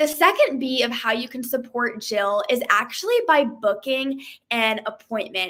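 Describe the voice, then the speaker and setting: Her pitch is high for a woman, and this woman's pitch varies in an ordinary way. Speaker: beauty sales consultant. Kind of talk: sales pitch. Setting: live stream.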